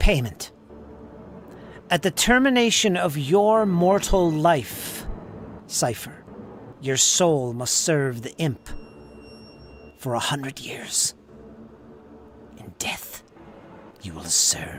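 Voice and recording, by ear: In a put-on character voice, a man talks at a very slow pace with a fairly high pitch, big pitch swings and long, frequent pauses.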